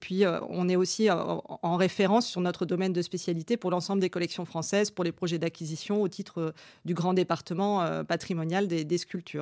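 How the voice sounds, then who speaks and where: At a moderate pace and with fairly even intonation, the speaker comes through on a very clean recording against a silent background. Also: woman, fairly low pitch for a woman. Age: 30s. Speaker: museum curator and art historian. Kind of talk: interview monologue about her work. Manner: hesitant, with fillers and repeated words.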